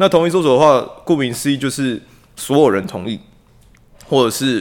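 His voice carries vocal fry and pitch swings that range very widely. The man talks at a fairly quick pace. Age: 20s. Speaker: police officer. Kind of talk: casual discussion.

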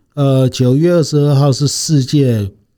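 In a dark, mellow tone, a man talks on a very clean recording with a silent background. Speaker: patient association chairman, retired naval officer. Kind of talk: interview testimony. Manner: halting, many fillers.

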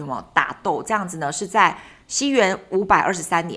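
A woman's fairly slow speech with very wide pitch swings. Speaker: travel podcast co-host. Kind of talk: casual chat.

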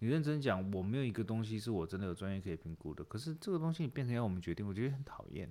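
Very fast, nearly pauseless speech from a man with a fairly low pitch and very wide pitch swings. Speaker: podcast co-host. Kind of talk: casual chat about referendums. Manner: animated, laughing.

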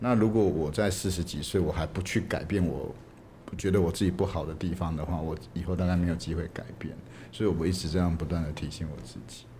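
A man's very deep, low, somewhat breathy voice, dark and mellow in tone, with fairly even intonation and audible room echo. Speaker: film director. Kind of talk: interview.

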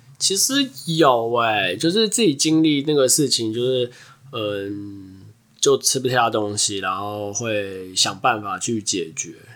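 A man's very slow speech with lively intonation. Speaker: podcast co-host. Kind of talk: casual chat.

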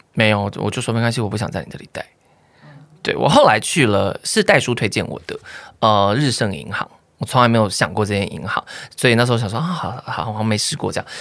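In a Taiwanese accent, a man speaks at a very fast pace with big swings in loudness. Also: medium pitch for a man, ordinary pitch variation. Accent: Taiwanese Mandarin. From Taiwan, Nantou. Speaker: YouTuber and podcaster. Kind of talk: casual chat.

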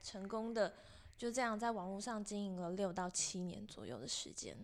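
On a very clean recording with a silent background, a woman of medium pitch speaks at a moderate pace with ordinary pitch variation. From Taiwan, Taoyuan. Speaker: UI designer and community founder. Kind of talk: interview. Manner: casual.

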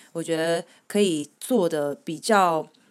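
A woman with an unremarkable speaking voice talks fairly slowly in a fairly low register with ordinary pitch variation. The recording is very clean, with a silent background. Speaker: returned overseas student. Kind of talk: casual chat.

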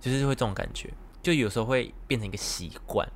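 Medium-pitched male voice. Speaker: podcast host. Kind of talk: casual chat.

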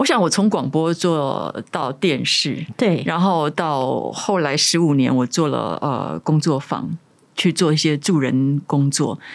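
A woman speaks at a very slow pace with a very deep, low pitch and vocal fry. Her loudness stays very even, and her pitch varies in an ordinary way. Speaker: author and former radio host. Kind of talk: interview.

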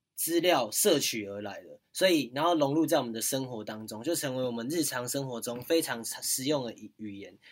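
Hardly any pauses, big swings in loudness, and a Taiwanese accent. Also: man, medium pitch for a man, ordinary pitch variation, moderate pace. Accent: Taiwanese Mandarin. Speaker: university student podcast host. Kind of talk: casual chat.

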